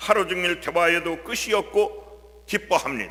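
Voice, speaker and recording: A man's raised, projected voice, high in pitch, at a moderate pace over noticeable background noise. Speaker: church deacon. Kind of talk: testimony.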